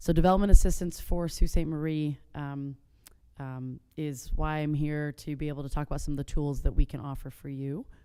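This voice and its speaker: At a fairly quick pace, a woman with an American accent talks in a very deep, low pitch and a dark, mellow tone. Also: fairly even intonation, big swings in loudness. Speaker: state agency executive director. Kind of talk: presentation. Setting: city commission meeting room. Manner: loud.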